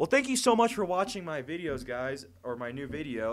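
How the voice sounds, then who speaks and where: A man talks with very wide pitch swings. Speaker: movie review youtuber. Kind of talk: casual video review monologue. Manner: halting, many fillers and restarts; casual and fast.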